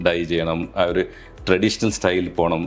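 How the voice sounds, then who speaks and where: A man's voice over background music. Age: 50s. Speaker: model and actor. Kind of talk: interview answer.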